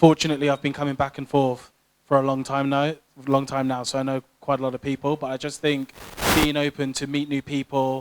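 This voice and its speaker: In a British accent, a fairly high-pitched man speaks at a fairly quick pace, monotone and flat, with a dry, close sound and no echo. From UK, British Nigerian. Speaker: tech professional. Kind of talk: panel discussion.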